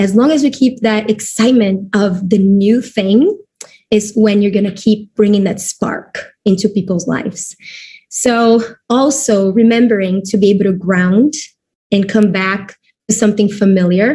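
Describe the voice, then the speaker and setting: A woman's somewhat breathy, dark and mellow voice at medium pitch, in a Portuguese accent, with ordinary pitch variation at a moderate pace. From Brazil. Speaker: network marketing distributor. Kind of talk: webinar presentation. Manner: halting.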